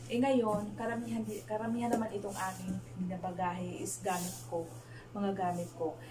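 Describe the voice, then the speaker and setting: Over loud background noise, a woman speaks at a moderate pace with very wide pitch swings. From Philippines. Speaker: vlogger, overseas Filipino worker; overseas worker vlogger. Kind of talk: casual vlog; casual vlog chat. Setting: small bedroom. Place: home room. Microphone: camera far.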